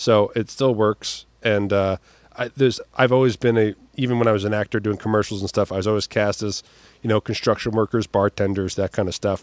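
A man with a normal speaking voice talks at a fairly quick pace. His fairly low voice holds fairly even intonation, and the sound is dry and close with no echo. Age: 40s. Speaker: comedian and magician. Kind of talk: casual chat.

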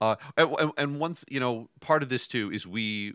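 A man's bright, sharp voice of medium pitch, at a fairly quick pace with lively intonation, in a dry, close sound with no echo and a very clean recording against a silent background. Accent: American. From New York, Westchester. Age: 50s. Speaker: podcast co-host, programmer. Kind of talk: casual chat. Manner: halting, repeats words.

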